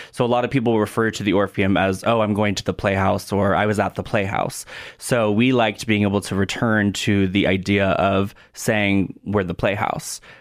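A man talks in a fairly low pitch at a moderate pace. His intonation is monotone and flat. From Oregon, US Pacific Northwest. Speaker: theatre director. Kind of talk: radio interview. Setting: studio.

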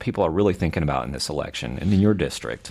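A man talks at a very fast pace. His voice is fairly low with vocal fry. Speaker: radio host interviewer. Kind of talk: casual interview. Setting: studio.

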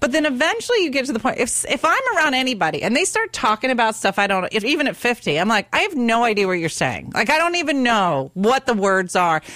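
A woman speaks at a very fast pace with hardly any pauses, her high pitch swinging very widely. Her loudness stays very even over noticeable background noise. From US, Italian-American family. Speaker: stand-up comedian. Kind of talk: casual chat. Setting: studio.

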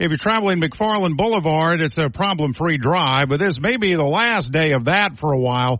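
Here is a man with an ordinary speaking voice and a fairly high pitch. His intonation is lively and his pace fairly quick. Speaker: traffic reporter. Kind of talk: traffic report.

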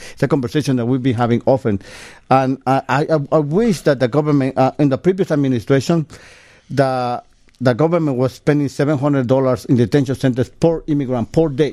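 A man of medium pitch speaks at a fairly quick pace in a dark, mellow tone with ordinary pitch variation and very even loudness. The recording is very clean, with a silent background and a dry, close sound with no echo. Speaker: storyteller. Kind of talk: casual interview.

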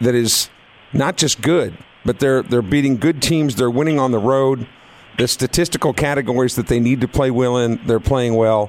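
Here is a man with a plain, everyday voice, medium in pitch and ordinary in pitch variation. His loudness stays very even at a moderate pace. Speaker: radio host. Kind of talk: live radio sports talk show. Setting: studio.

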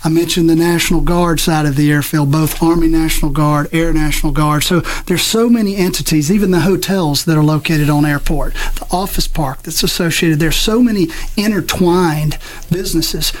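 A man with an American accent speaks at a high pitch with fairly even intonation and very even loudness. Noticeable background noise and audible room echo surround him. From South Mississippi, US. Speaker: airport executive director. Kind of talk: radio interview.

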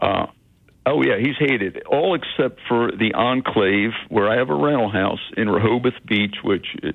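At a moderate pace, the speaker uses a normal speaking voice with very even loudness. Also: man. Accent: American. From Philadelphia. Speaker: caller. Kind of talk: call-in talk radio. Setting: phone call.

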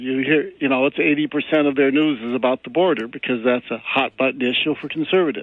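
A man talks in an unremarkable speaking voice. His pitch is fairly high, with ordinary pitch variation. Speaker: caller. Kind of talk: call-in comment. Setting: phone call.

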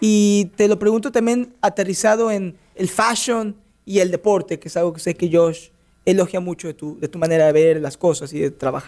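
The speaker has a Mexican accent and a moderate pace. Pitch varies in an ordinary way. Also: man, high pitch for a man. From Mexico. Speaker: sports radio host. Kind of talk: radio interview. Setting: radio studio.

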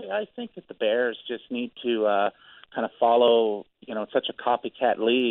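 A man with an American accent speaks at a moderate pace in a medium pitch, with fairly even intonation and a plain, everyday voice. His loudness swings widely. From Gary, Indiana (US Midwest). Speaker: radio call-in listener. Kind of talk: casual phone-in chat.

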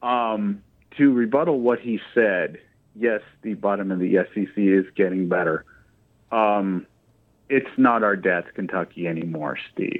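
A man speaks with long, frequent pauses. His pitch is fairly low, with ordinary pitch variation. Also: fairly slow pace. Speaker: caller. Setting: phone call.

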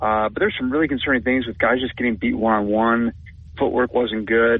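A man with an American accent, a plain, everyday voice, medium pitch and a fairly quick pace. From Minnesota. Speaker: sports beat writer. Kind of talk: sports talk radio interview. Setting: radio studio.

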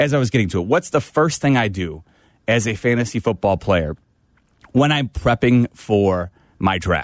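A man's fairly low voice with lively intonation at a moderate pace, a normal speaking voice in a dry, close sound with no echo. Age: 40s. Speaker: sports radio host. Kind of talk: radio talk show.

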